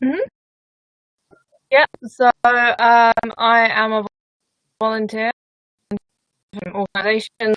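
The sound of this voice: Speaking slowly with long, frequent pauses, a woman has a fairly high pitch and a fairly bright tone. Her intonation is fairly even, and the sound is dry and close with no echo.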